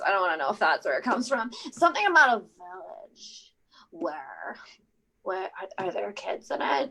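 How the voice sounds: This put-on character voice has a fairly bright tone and vocal fry. It moves at a moderate pace with big pitch swings. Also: woman, medium pitch for a woman.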